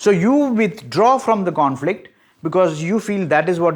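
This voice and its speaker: This man speaks with lively intonation. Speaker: psychology educator. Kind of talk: lecture. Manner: slow; repetitive, emphatic.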